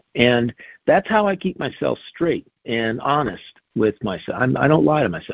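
A man speaks in an unremarkable speaking voice, with lively intonation at a moderate pace. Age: 60s. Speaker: wellness guest. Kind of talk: casual chat.

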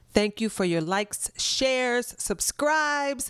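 A woman with a normal speaking voice uses lively intonation at a fairly high pitch. She talks at a moderate pace on a very clean recording with a silent background. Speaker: podcast co-host. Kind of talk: casual interview.

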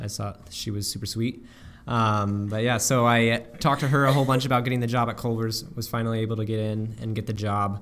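An ordinary speaking voice from a man at medium pitch, fairly quick in pace, with fairly even intonation. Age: 20s. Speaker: homeschool graduate. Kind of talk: casual chat. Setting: shared room, one mic passed around.

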